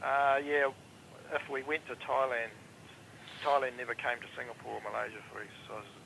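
With a southern New Zealand accent, a man speaks at a medium pitch and a fairly quick pace in a monotone, flat intonation, with long, frequent pauses and noticeable background noise. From New Zealand, Invercargill. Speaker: former air force avionics technician. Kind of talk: interview.

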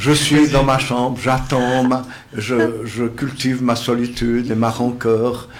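With audible room echo and noticeable background noise, a man talks very slowly at a medium pitch in a monotone, flat delivery. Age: old. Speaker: psychosociologist. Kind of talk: radio panel discussion. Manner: formal.

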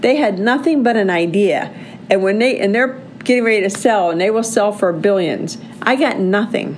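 A woman's medium-pitched, animated voice at a moderate pace and very even loudness, with audible room echo and noticeable background noise. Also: ordinary pitch variation. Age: 60s. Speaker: podcast host. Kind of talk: solo monologue podcast.

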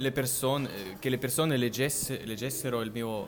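With audible room echo, a man in a Russian accent speaks at a medium pitch with ordinary pitch variation. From Russia, Siberia (Novosibirsk). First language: Russian (speaking Italian). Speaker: polyglot, language content creator. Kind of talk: casual chat. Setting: in person in Milan. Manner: halting.

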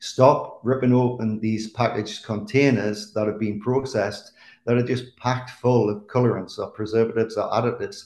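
A man with an English accent speaks at medium pitch and a moderate pace. His intonation is fairly even, with hardly any pauses. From England. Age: 50s. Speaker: chef. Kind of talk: casual chat.

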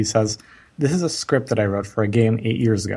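The voice is somewhat breathy and moves at a fairly quick pace. Its pitch variation is ordinary. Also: man. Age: 30s. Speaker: marketing entrepreneur. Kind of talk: interview. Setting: podcast interview.

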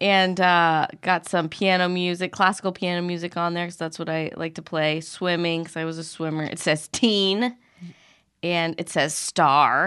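In an unremarkable speaking voice, a woman with an American accent talks at a moderate pace and fairly low pitch over a quiet background. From Arizona. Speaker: guest. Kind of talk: casual chat.

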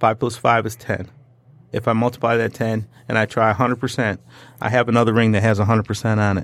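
A man at medium pitch with a Detroit accent. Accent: Detroit-area American English. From Detroit area, Michigan. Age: 50s. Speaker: drywall contractor. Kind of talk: casual interview. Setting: studio.

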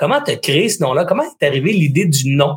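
A man with a Quebec accent. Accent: Québécois French. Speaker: podcast host interviewing entrepreneurs. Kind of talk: casual interview. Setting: live stream.

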